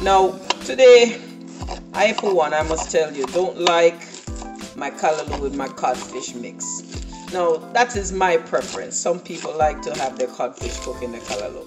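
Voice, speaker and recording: Speech at a moderate pace over clear background music. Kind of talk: cooking tutorial. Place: kitchen. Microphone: phone near.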